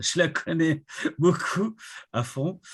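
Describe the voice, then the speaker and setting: A man talks with lively intonation. Behind him, the background stays quiet. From Congo-Brazzaville (Pointe-Noire). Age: 60s. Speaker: retired IT director, association president. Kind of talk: interview.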